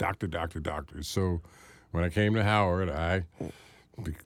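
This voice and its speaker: On a very clean recording with a silent background, a man with an American accent speaks at a moderate pace in a very deep, low pitch with ordinary pitch variation. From Washington, D.C. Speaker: radio host and producer. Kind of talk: interview. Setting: studio.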